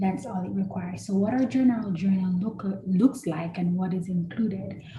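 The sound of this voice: In a room with audible echo, a woman with a medium pitch and a dark, mellow tone talks at a moderate pace with ordinary pitch variation.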